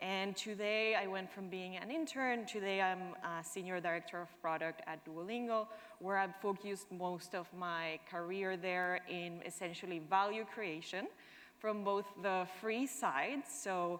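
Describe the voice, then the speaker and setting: A woman with a Spanish accent at a fairly slow pace, medium pitch and ordinary pitch variation. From Argentina. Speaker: product manager. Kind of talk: conference talk.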